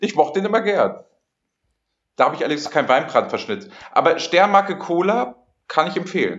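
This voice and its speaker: With a high pitch, a man talks at a fairly quick pace broken by long, frequent pauses. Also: ordinary pitch variation. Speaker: podcast host. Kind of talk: casual chat. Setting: hotel room.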